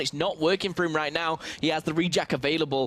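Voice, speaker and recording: Using a normal speaking voice, a man with fairly high pitch talks at a fairly quick pace. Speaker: esports commentator. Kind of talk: live commentary.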